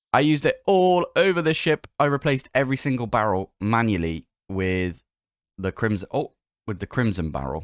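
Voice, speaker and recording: In a very clean recording with a silent background and a dry, close sound free of echo, a man of medium pitch speaks at a moderate pace while his pitch swings very widely. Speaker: gaming youtuber. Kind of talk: gameplay commentary. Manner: casual, rambling with fillers. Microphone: new microphone, recorded with OBS.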